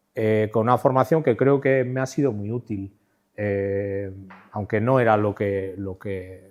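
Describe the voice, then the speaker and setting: With a quiet background, a man speaks at a fairly low pitch with ordinary pitch variation. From Spain, Navarre (Pamplona), Basque region. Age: 60s. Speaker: art director and designer, lecturer. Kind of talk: conference talk. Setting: stage at a conference. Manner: halting, with many fillers and repetitions.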